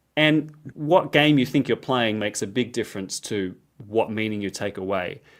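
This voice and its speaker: On a very clean recording with a silent background, a man with an Australian accent talks at a moderate pace and medium pitch with lively intonation. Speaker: Bible scholar, lecturer. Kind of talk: interview. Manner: casual, animated.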